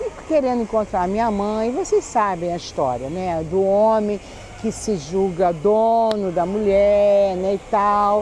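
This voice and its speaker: At a very slow pace, a woman speaks at medium pitch with ordinary pitch variation over noticeable background noise. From Rio de Janeiro, Brazil. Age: 60s. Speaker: YouTuber telling life stories. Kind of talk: personal storytelling to camera. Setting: outdoors in a public square.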